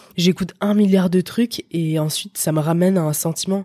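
A woman with a dark, mellow tone speaks in a monotone, flat intonation, somewhat breathy, in a dry, close sound with no echo. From France, Paris region. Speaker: electronic music producer and DJ. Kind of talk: casual interview.

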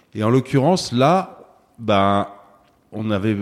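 A man with an ordinary speaking voice, medium in pitch with ordinary pitch variation, is heard on a very clean recording with a silent background. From Paris, France. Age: 50s. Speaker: retail company executive. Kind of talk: interview.

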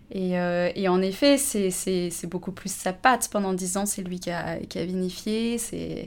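With ordinary pitch variation, the woman speaks very slowly. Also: medium pitch for a woman, hardly any pauses. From Haute-Savoie, France. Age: 30s. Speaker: winegrower. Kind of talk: casual interview. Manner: hesitant, with many fillers.

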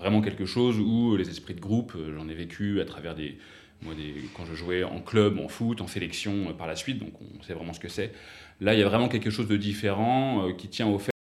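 There is audible room echo as a man talks at a moderate pace in a fairly low voice with ordinary pitch variation. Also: big swings in loudness. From western France, south of Nantes. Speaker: startup founder and investor. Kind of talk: interview.

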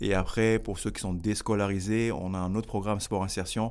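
Recorded very cleanly against a silent background, a man speaks at a fairly low pitch and moderate pace with monotone, flat intonation. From Paris region, France (Grigny). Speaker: social entrepreneur, youth academy founder. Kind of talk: interview. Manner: halting, with repetitions.

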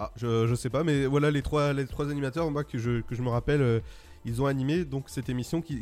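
A man speaks at a moderate pace in an upbeat tone, his pitch fairly high. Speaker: radio host. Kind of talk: radio dj patter. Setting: studio. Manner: upbeat, chatty, punchy radio-jingle energy.

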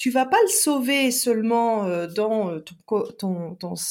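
A woman's fairly high voice with lively intonation, in a very clean recording with a silent background. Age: 40s. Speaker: relationship coach and therapist. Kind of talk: casual interview chat.

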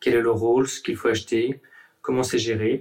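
Monotone, flat intonation carries the words along at a moderate pace. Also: man. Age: 30s. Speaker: railway signalman. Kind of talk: workplace podcast interview. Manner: halting, repeats words.

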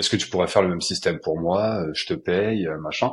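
In a quiet background, a man's very deep, low voice moves at a moderate pace, its pitch varying in an ordinary way. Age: 30s. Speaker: freelancer and trainer. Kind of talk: casual interview.

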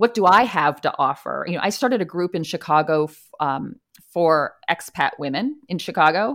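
A woman's plain, everyday voice, fairly low in pitch, with lively intonation, in a very clean recording with a silent background. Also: moderate pace. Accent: American. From US East Coast. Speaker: expat and career coach. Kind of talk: casual interview.

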